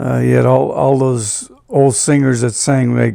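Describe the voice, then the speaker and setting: Here a man speaks with a northeastern Pennsylvania accent. His pace is fairly slow. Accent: northeastern Pennsylvania American. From northeastern Pennsylvania, Scranton. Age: 80s+. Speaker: retired doo-wop singer. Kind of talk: reminiscing interview. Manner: halting.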